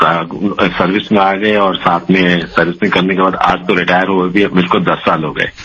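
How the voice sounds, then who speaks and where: A man with a fairly low voice talks at a moderate pace over noticeable background noise. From Delhi, India. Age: 70s. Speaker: retired writer and poet. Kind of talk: radio phone interview. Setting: phone call. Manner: halting, many fillers.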